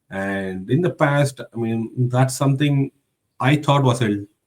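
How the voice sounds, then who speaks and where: Somewhat breathy and medium in pitch, a man speaks at a fairly slow pace with ordinary pitch variation. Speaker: IT professional. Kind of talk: interview. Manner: halting.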